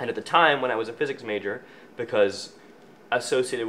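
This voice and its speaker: A man with a Canadian accent talks at a very fast pace with ordinary pitch variation over light background noise. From Scotland, raised in Canada. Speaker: student filmmaker. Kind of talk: interview answer. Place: office.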